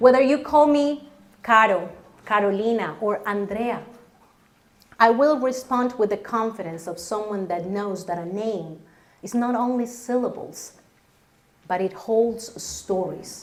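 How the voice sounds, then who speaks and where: A woman with a Spanish accent speaks at a fairly high pitch, with ordinary pitch variation. Long, frequent pauses break her speech, and the room echo is audible. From Colombia. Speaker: storyteller. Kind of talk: stage storytelling.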